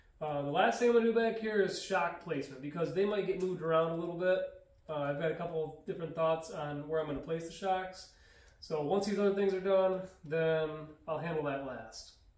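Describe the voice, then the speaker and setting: There is audible room echo as a man talks at a fairly quick pace in a high-pitched voice. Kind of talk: tutorial. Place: garage. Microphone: camera far.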